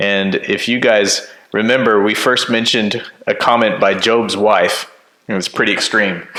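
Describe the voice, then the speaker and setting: Over noticeable background noise, a man talks at a fairly slow pace and medium pitch. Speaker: pastor. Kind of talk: casual chat. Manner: loud; laughs at himself often. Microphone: turned-down mic, echo in room.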